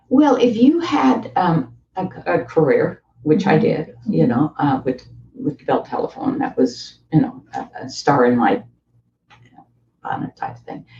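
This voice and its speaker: Talking at a fairly slow pace, a woman with a medium pitch and a dark, mellow tone uses very wide pitch swings and vocal fry. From East coast of Canada. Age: 80s+. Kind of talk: interview answer. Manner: conversational.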